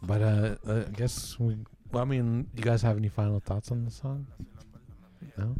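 A man with a dark, mellow, somewhat breathy tone speaks with fairly even intonation and long, frequent pauses. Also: moderate pace. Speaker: podcast host. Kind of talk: casual chat.

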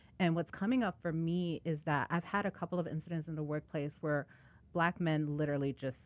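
A woman with a Chicago accent talks at a fairly quick pace, her very deep, low pitch showing ordinary variation. The recording is very clean, with a silent background. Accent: Chicago American English. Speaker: podcast host and nonprofit executive director. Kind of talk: interview conversation.

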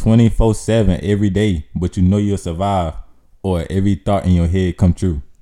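Music plays in the background as a man with a very deep, low pitch speaks at a moderate pace with fairly even intonation. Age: 20s. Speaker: aspiring YouTuber. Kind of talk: casual chat.

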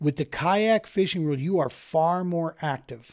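A man speaks in an ordinary speaking voice at a moderate pace, with ordinary pitch variation. The recording is very clean, with a silent background. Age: 40s. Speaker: fishing podcast host. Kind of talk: casual monologue.

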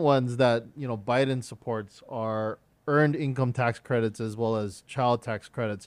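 With a quiet background, a man talks in a normal speaking voice at a medium pitch and moderate pace, with ordinary pitch variation. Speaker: podcast host. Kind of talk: casual interview.

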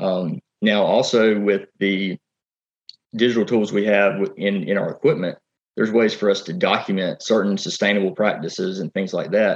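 Here a man speaks with a Southern US accent at a fairly low pitch. His pace is moderate and his intonation fairly even. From South Carolina. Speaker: farmer and tech entrepreneur. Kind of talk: interview.

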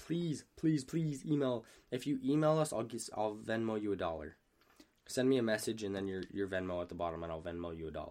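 In an animated tone, a man speaks at a fairly quick pace, his pitch swinging very widely. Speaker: podcast co-host. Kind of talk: casual chat. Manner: animated, jokey.

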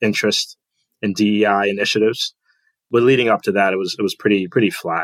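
With an American accent, a man in a plain, everyday voice speaks at a fairly low pitch with ordinary pitch variation, the sound dry and close with no echo. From Trinidad and Tobago, then US from age 9 or 10. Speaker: renewable energy finance director. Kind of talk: casual interview.

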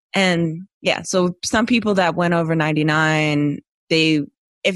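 With an American accent and a plain, everyday voice, a woman speaks in a fairly low pitch with fairly even intonation. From West Philadelphia. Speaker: emergency dispatcher. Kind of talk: casual chat.

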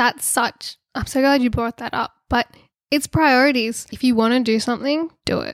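A woman with an Australian accent speaks at a high pitch with fairly even intonation, the sound dry and close with no echo. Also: moderate pace. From Australia (Sydney). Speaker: social media creator and spice seller. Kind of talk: casual interview chat. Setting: sitting on floor in a spare bedroom.

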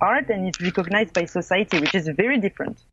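Speaking fairly quickly with a French accent, a woman keeps to a medium pitch with ordinary pitch variation. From France, small town. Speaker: filmmaker and blogger. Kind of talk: interview. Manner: halting.

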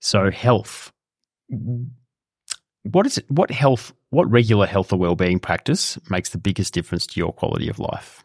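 A man's fairly low voice with lively intonation, at a fairly slow pace, in a dry, close sound with no echo and a very clean recording over a silent background. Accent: Australian. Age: 30s. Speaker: podcast host. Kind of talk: interview.

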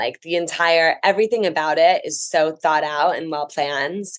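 A woman speaks in a normal speaking voice with an American accent. Her pitch is fairly low and her pace is moderate. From New Jersey. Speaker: travel writer. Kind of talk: casual chat.

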